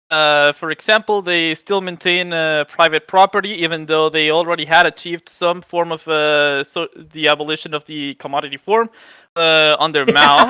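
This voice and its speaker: Speaking at a moderate pace, a man with a Spanish accent uses a fairly high pitch and fairly even intonation. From Mexico. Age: 20s. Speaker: twitter user debater. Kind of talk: heated debate. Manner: halting.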